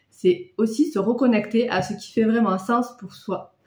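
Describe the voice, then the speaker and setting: The room echo is audible. A woman speaks at a moderate pace. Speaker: travel vlogger. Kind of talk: casual vlog chat. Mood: calm, explanatory. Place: home room. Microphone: phone near.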